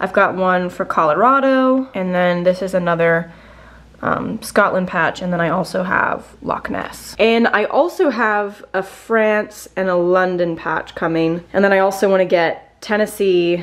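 A woman with a Virginia accent talks at a fairly slow pace with ordinary pitch variation. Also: medium pitch for a woman. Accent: American (Virginia). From Virginia, US (Gloucester). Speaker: lifestyle vlogger and podcaster; lifestyle vlogger, podcaster. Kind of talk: casual chatty vlog to camera. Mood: cheerful, enthusiastic. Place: home room. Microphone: phone near.

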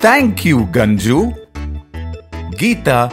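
Music plays behind a man with a medium-pitched voice. His pitch swings very widely. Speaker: voice-over artist. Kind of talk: children's phonics story narration.

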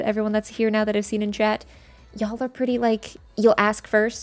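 Fairly high in pitch, a woman speaks at a fairly quick pace. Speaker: gaming streamer; game streamer. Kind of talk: casual chat. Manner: fast. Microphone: studio mic.

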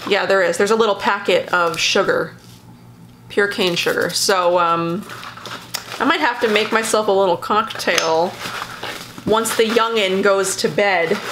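With light background noise, a woman speaks at a moderate pace with ordinary pitch variation and long, frequent pauses. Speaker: beauty YouTuber; beauty vlogger. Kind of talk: casual product haul talk to camera. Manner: casual, hesitant with many fillers. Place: home room. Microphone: phone near.

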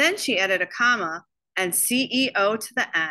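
The tone is bright and sharp. Delivery comes at a fairly slow pace with lively intonation. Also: woman.

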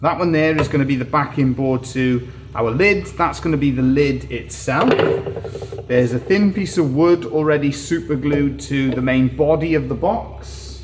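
Clear background noise behind a man at a medium tempo, his pitch varying normally. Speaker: woodworker demonstrating. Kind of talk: live stream tutorial. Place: workshop.

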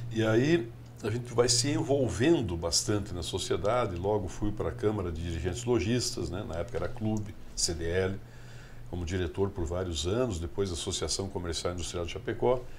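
At a moderate pace, a man with fairly low pitch sounds somewhat breathy and uses lively intonation over light background noise. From southern Brazil, Rio Grande do Sul. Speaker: politician and businessman; politician. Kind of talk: interview. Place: studio. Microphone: studio mic.

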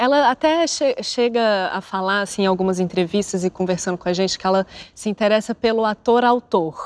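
A woman speaks at a moderate pace with hardly any pauses. Her pitch varies in an ordinary way. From Brazil, Brasília; Brazil. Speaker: actress. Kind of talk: interview. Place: studio. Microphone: lapel.

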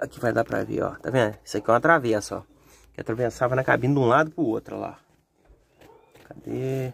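Here a man talks at a fairly quick pace. He takes long, frequent pauses. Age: 40s. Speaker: mechanic workshop owner, video host; video host. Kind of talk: casual workshop vlog; casual vlog chat. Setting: workshop. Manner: animated, joking. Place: open country. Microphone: phone near.

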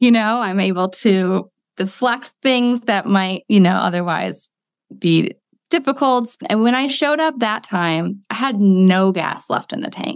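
In an American accent, a woman speaks with a normal speaking voice at a medium pitch and a fairly slow pace. Her intonation is lively, on a very clean recording with a silent background. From US Midwest, small-town Ohio. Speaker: school psychologist and wellness coach. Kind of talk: casual interview chat.

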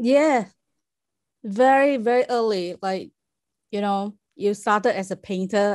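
A woman with a Chinese accent speaks at a fairly slow pace with ordinary pitch variation against a quiet background. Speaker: performance artist. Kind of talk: interview. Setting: video call. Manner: halting. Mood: friendly, smiling. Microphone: video call.

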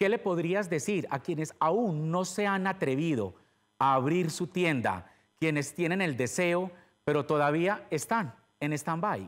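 A man talks at a fairly slow pace. Behind him, the background is quiet. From Colombia. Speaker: interviewer, channel host. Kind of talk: interview. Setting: video call. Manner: animated. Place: studio. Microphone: lapel.

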